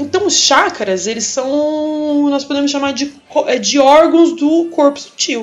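Over noticeable background noise, the speech comes at a very slow pace with ordinary pitch variation. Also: woman, high pitch for a woman. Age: 30s. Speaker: biology teacher. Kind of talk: explanatory talk.

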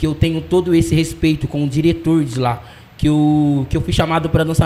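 A man with a fairly high pitch talks fairly quickly with fairly even intonation. It is an ordinary speaking voice. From Brazil, Londrina (Paraná), arrived from Jamaica at six. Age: 20s. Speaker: dancer and dance teacher. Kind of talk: casual interview.

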